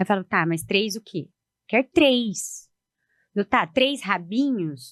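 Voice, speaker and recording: Against a quiet background, a woman with a strong Paraná accent speaks very slowly at a medium pitch with very wide pitch swings, the sound dry and close with no echo. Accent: Paraná accent, strong rolled final R. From Paraná, southern Brazil. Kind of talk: podcast interview.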